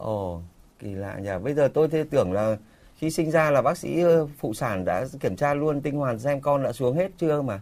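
A man's plain, everyday voice, fairly high in pitch, with lively intonation and a moderate pace. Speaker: radio call-in show host. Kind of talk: live radio call-in program. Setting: radio studio. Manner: formal.

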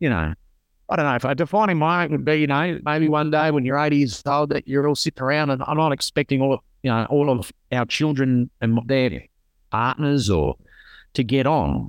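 Over a quiet background, a man with an Australian accent talks at a moderate pace and fairly high pitch, with ordinary pitch variation and a dry, close sound with no echo. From South Australia (rural). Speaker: burns survivor and charity founder. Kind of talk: interview. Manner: halting.

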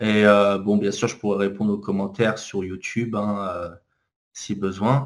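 Fairly slow, flat, monotone speech from a man with a fairly low pitch and long, frequent pauses, on a very clean recording with a silent background. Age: 30s. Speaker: author and corporate trainer. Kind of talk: interview. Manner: hesitant, many fillers.

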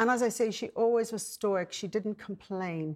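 A woman with an Irish accent speaks at a medium pitch and a moderate pace, with ordinary pitch variation. The recording is very clean, the background silent. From Ireland. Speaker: businesswoman and broadcaster. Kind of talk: panel discussion.

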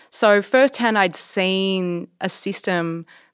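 A woman with an Australian accent at medium pitch, ordinary pitch variation, in a very clean recording with a silent background. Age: 30s. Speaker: entrepreneur and engineer. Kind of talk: interview.

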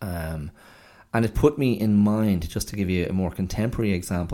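A man with an Irish accent, a dark, mellow tone, fairly low pitch and ordinary pitch variation, in a very clean recording with a silent background. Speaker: podcast host. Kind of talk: solo monologue podcast. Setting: recording at home. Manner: repeats words, hesitant fillers.

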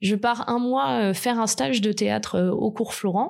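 The woman's voice sits at a medium pitch. She speaks at a fairly slow pace. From southern France, Côte d'Azur. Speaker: podcast guest telling her love story. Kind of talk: personal testimony. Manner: hesitant, with fillers.

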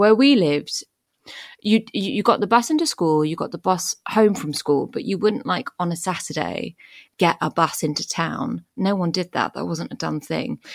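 Lively intonation and vocal fry mark this moderately paced voice, recorded dry and close with no echo. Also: woman, medium pitch for a woman. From France (English family, moved there at four). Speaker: podcast guest. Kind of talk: casual interview chat.

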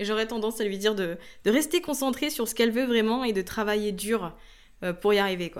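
In an ordinary speaking voice, a woman with a fairly high pitch talks at a fairly quick pace with ordinary pitch variation, on a very clean recording with a silent background. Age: 30s. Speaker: entrepreneur and online trainer. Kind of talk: interview conversation.

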